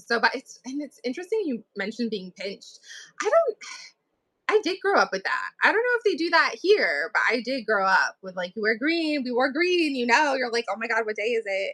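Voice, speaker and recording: A raised, projected voice with a bright, sharp tone, very wide pitch swings and a fairly quick pace, in a dry, close sound with no echo. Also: woman, high pitch for a woman. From New England, US. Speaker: author. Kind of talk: casual chat. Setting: livestream.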